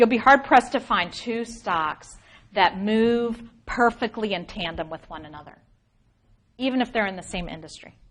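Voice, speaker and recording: With an unremarkable speaking voice, a woman talks at a moderate pace with a fairly high pitch, lively intonation and big swings in loudness against a quiet background. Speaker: finance professor. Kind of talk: lecture.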